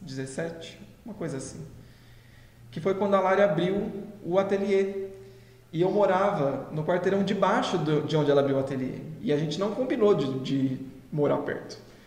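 A man's high voice with long, frequent pauses, audible room echo and noticeable background noise. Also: ordinary pitch variation, moderate pace. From interior of São Paulo state, Brazil (José Bonifácio). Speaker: pastry business partner, educator. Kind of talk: casual chat. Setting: live stream.

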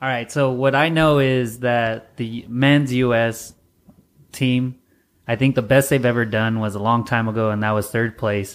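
With a moderate pace and fairly even intonation, a plain, everyday voice comes through a very clean recording with a silent background. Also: man, medium pitch for a man. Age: 30s. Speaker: podcast host. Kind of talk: casual chat.

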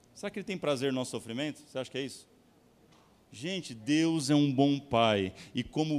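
The man's pitch shifts in a normal, everyday range. Nothing but silence sits behind this very clean recording. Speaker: pastor. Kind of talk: sermon. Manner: animated.

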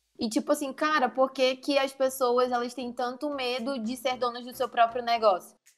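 Speaking in a northern Brazilian accent, a woman with a high pitch keeps monotone, flat intonation at a moderate pace, with big swings in loudness and hardly any pauses. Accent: northern Brazilian (Manaus). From Manaus, Amazonas, northern Brazil. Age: 20s. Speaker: production engineer and entrepreneur, club member. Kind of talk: casual podcast interview.

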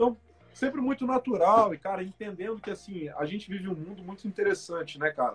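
Talking at a fairly quick pace, a man uses lively intonation and a high pitch. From Espírito Santo, Brazil (Guarapari). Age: 20s. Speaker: startup founder and CEO. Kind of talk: casual interview. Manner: casual, colloquial.

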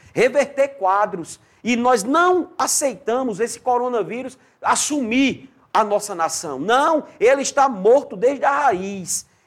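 On a very clean recording with a silent background, a man speaks at an extremely high pitch. He goes at a very slow pace with very wide pitch swings. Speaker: pastor. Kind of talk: sermon. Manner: animated.

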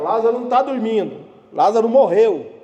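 The man's voice sits high in pitch. Audible room echo and noticeable background noise surround it. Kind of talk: sermon.

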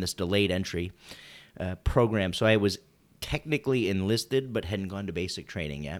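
Lively intonation and a fairly quick pace mark this voice with a slight Wisconsin accent, captured in a very clean recording with a silent background. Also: man. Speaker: podcast co-host, Navy veteran. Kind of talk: casual chat.

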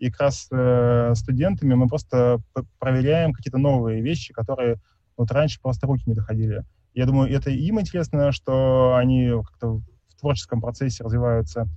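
The man's voice sits at a medium pitch with ordinary pitch variation. He talks at a moderate pace. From Tomsk, Siberia, Russia. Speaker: architect, small firm head. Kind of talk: online panel lecture. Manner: hesitant, many fillers.

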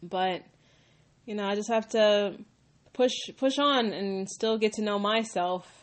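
Speaking at medium pitch, a woman keeps fairly even intonation and a fairly slow pace with long, frequent pauses. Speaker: podcaster. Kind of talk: casual monologue. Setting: at home. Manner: halting.

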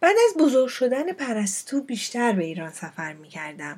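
The woman's tone is dark and mellow, somewhat breathy. She speaks at a moderate pace. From Iran, Fars province. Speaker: podcast host. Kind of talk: personal storytelling monologue.

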